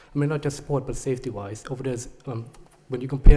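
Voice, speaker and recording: This man's voice is dark and mellow, somewhat breathy, at a medium pitch. His intonation stays fairly even. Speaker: parent speaking at public comment. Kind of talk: public comment at a board meeting. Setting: public meeting with audience. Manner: halting, many fillers.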